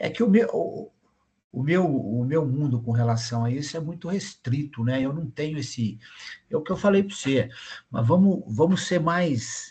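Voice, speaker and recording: In a quiet background, a man with a dark, mellow tone and a fairly high pitch speaks somewhat breathily with lively intonation. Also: moderate pace. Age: 60s. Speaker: retired volunteer student. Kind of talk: casual discussion.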